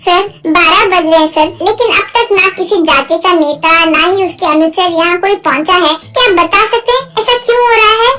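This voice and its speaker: Here a woman performs a cartoonish character voice at an extremely high pitch. Clear background noise is present. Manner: direct, earnest.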